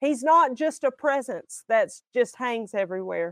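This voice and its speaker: A woman speaks with a Southern US accent at a high pitch and a fairly slow pace. The sound is dry and close, with no echo. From Alabama. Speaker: singer and minister. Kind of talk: testimony.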